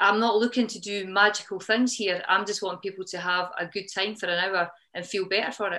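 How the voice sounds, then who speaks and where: Speaking at a fairly quick pace in a Scottish accent, a woman has a bright, sharp tone at a medium pitch. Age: 50s. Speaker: CrossFit gym co-owner. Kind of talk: podcast interview answer.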